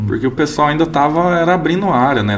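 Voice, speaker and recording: Noticeable background noise under a man's lively intonation. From Araporã, Minas Gerais (raised from age 8). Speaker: agronomist and seed company representative. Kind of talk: casual interview chat. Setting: studio.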